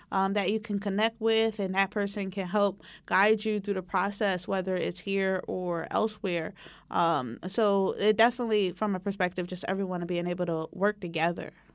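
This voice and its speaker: A plain, everyday voice with an American accent, moderate pace and fairly even intonation, on a very clean recording with a silent background. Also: woman, medium pitch for a woman. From West Philadelphia. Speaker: community college instructor. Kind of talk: oral history interview.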